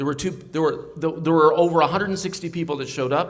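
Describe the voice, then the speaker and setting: A loud man with an American accent, high in pitch, his intonation fairly even. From Ohio. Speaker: pastor. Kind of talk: political speech. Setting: stage with audience.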